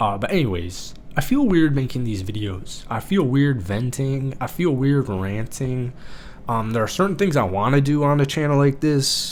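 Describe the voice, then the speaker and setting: Lively intonation carries the speech at a moderate pace, with audible room echo around it. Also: man, medium pitch for a man. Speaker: content creator. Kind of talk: casual vlog.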